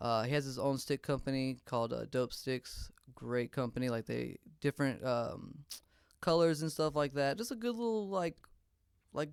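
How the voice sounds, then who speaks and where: A man with a Louisiana accent speaks at a moderate pace in a fairly high voice. His intonation is lively, and the sound is dry and close with no echo. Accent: Southern US (Louisiana). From US South, northern Louisiana (Shreveport). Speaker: drummer. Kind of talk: casual interview chat. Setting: studio.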